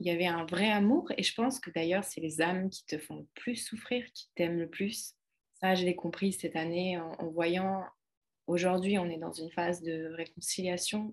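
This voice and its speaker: A woman with an ordinary speaking voice talks at a moderate pace. Her intonation is fairly even, though her loudness swings widely. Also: fairly low pitch for a woman. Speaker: holistic coach and author. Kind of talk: casual chat.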